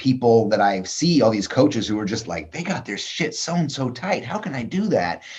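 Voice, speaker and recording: Somewhat breathy, a man talks at a moderate pace. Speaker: author, designer and creative coach. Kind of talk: casual interview conversation. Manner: halting, searching for words.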